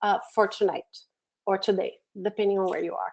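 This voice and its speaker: A woman talks at a fairly quick pace with a Brazilian Portuguese accent. Her tone is dark and mellow against a quiet background. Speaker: education program manager, webinar presenter; webinar presenter. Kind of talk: webinar tutorial. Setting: online webinar from home office. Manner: hesitant with many fillers. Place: home room.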